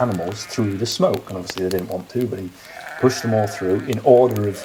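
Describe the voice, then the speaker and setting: Noticeable background noise sits behind a man with a fairly low pitch. He talks at a fairly quick pace with fairly even intonation. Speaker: local storyteller. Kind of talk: folk tale storytelling. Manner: casual, conversational, with hesitations.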